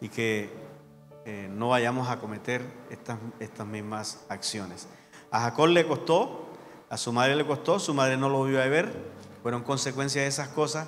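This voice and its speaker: A man at medium pitch and moderate pace, with ordinary pitch variation, long, frequent pauses and audible room echo. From Colombian Caribbean coast (Sucre/Córdoba region). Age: 60s. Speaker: guest pastor. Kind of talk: sermon. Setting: church.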